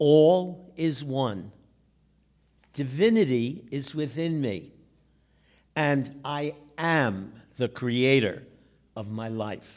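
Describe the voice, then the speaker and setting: A man's fairly high voice, very slow and broken by long, frequent pauses, with lively intonation and audible room echo. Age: 70s. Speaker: storyteller sharing a personal mental health story. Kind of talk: personal testimony on stage. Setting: stage with audience.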